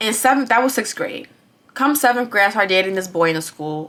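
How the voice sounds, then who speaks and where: A woman's animated tone at a very fast pace. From Bronx, New York. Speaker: vlogger. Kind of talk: testimony.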